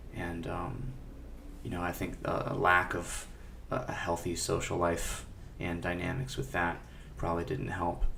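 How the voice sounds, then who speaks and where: A man with a very deep, low pitch talks at a moderate pace with very wide pitch swings. Long, frequent pauses break up his speech, and audible room echo surrounds it. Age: 20s. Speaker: music director and teacher, podcast guest. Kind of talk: personal testimony in a panel discussion. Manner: halting, with many fillers and repetitions.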